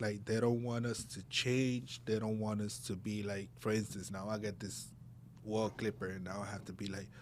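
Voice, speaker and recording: Recorded with audible room echo, a man with a Spanish accent speaks at a fairly low pitch with ordinary pitch variation. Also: moderate pace. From Puerto Rico and New Jersey. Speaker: barber. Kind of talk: casual chat.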